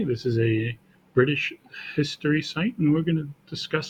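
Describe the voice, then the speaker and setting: A somewhat breathy man keeps his speech at a moderate pace. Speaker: teacher. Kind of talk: classroom lecture, casual talk to camera.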